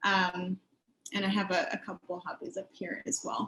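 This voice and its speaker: Vocal fry runs through the voice. The pace is moderate. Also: woman. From Washington, D.C. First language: French. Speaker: middle school math teacher. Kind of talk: school information session presentation.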